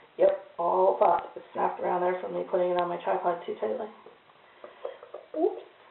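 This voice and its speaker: Someone speaks at a fairly quick pace with long, frequent pauses. Noticeable background noise is present. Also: woman. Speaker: soap maker. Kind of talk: tutorial. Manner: casual, chatty. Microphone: cheap old camera mic, very quiet.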